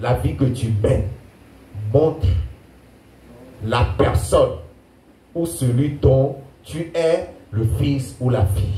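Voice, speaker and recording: Lively intonation marks this man's somewhat breathy voice. The room echo is audible. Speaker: pastor. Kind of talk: sermon. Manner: animated.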